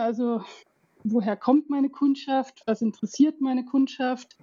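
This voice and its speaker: Her intonation fairly even, the woman keeps a moderate pace. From Alpine region. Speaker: head of marketing. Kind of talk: casual interview.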